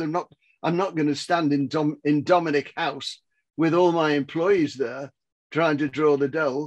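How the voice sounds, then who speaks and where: A man speaks at a moderate pace in an English accent, his pitch fairly high for a man. His intonation stays fairly even over a quiet background. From England. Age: 80s+. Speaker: business mentor and author. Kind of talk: motivational talk. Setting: video call. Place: home room. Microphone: headset.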